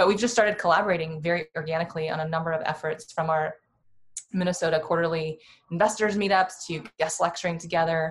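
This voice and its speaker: A woman speaks very fast with an American accent, somewhat breathy. Her voice sits fairly low and her intonation stays fairly even. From Iowa, US Midwest. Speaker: venture capital investor. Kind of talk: casual interview.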